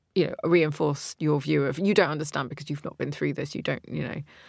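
With a British accent and vocal fry, a woman talks at a very deep, low pitch. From Britain. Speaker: podcast host. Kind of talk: casual chat.

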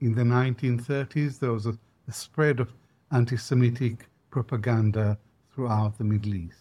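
A man's somewhat breathy, dark, mellow voice at a moderate pace with fairly even intonation. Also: medium pitch for a man. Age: 70s. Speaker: historian and professor. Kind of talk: interview. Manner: hesitant, many fillers.

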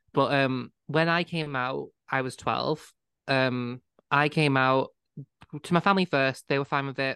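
The speaker has a northwest English accent and a fairly slow pace. There are long, frequent pauses against a quiet background. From northwest England. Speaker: podcast co-host. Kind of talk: casual chat.

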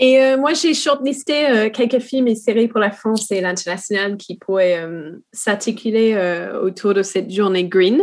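With an English accent, a woman speaks at a fairly high pitch and a fairly slow pace. Her pitch variation is ordinary and the background is quiet. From New Zealand. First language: English (speaking French). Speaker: TV series development manager. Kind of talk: work meeting conversation.

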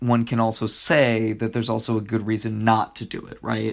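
Against a quiet background, a man at medium pitch talks at a moderate pace in an animated tone. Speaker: podcast co-host. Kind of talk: casual chat, storytelling a true crime case. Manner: professorial; animated, lots of fillers.

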